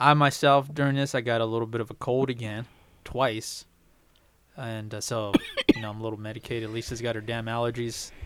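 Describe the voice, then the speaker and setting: The speech moves at a fairly quick pace. Its intonation stays monotone and flat. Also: man. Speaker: podcast host. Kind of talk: casual chat.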